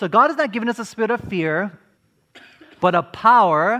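A man's raised, projected voice, bright and sharp in tone, with very wide pitch swings. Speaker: preacher. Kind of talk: sermon to a live congregation, with call-and-response. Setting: church or conference hall with audience. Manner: earnest, preacherly, rallying the audience to answer 'amen'; rhetorical questions, emphatic, building momentum.

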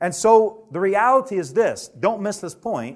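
A high-pitched man with a Southern US accent, fairly slow pace and very wide pitch swings. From Alabama. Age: 30s. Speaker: preacher. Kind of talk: sermon.

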